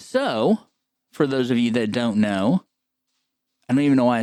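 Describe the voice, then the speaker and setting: A man speaks at a medium pitch. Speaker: podcast co-host on special education. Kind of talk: casual chat. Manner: subdued, not loud; halting, many fillers.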